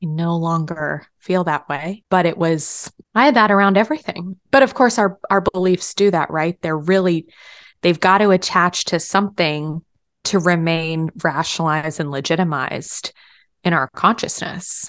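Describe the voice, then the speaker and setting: Over a quiet background, a woman with an American accent speaks in a plain, everyday voice, fairly low in pitch, at a moderate pace with ordinary pitch variation. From Texas. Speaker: spiritual podcast co-host. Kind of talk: casual chat.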